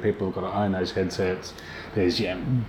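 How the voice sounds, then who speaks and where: A man with an Australian accent and a very deep, low pitch. He talks at a fairly quick pace with fairly even intonation, over noticeable background noise. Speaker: VR company founder and filmmaker. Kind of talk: casual interview.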